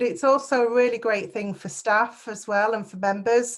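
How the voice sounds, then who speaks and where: A woman speaks with a northern English accent at a moderate pace. Her pitch is fairly high and her intonation fairly even. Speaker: council officer. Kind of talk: meeting presentation.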